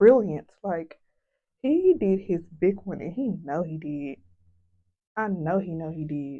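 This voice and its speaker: Long, frequent pauses mark a very slow pace from a woman with a fairly low pitch and an American accent. Her intonation is lively and her loudness swings widely. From US South. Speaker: beauty vlogger. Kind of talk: casual vlog chat.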